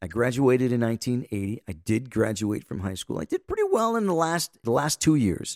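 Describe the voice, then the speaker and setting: The sound is dry and close with no echo as a man with a normal speaking voice talks at a fairly quick pace, medium pitch and lively intonation. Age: 60s. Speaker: podcast host. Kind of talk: solo podcast monologue. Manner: casual, rambling conversational.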